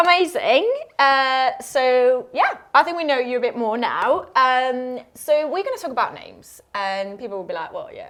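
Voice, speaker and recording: Her high pitch makes very wide swings, and big swings in loudness run through a moderate pace with hardly any pauses as this woman speaks. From northern Spain. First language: Spanish. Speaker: podcast host. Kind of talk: casual chat.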